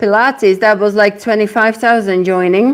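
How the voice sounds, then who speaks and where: A woman speaks with a European accent. Her pace is moderate. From Czech Republic. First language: Czech. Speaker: fitness instructor. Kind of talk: live-streamed workout class. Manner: energetic, encouraging.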